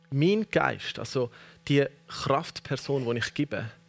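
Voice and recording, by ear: Speaking slowly at medium pitch, a man uses lively intonation with vocal fry.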